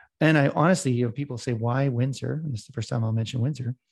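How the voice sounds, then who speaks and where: Somewhat breathy and very fast, a man with a Canadian accent speaks at a medium pitch with ordinary pitch variation. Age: 50s. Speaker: real estate investor. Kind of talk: interview. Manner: talkative.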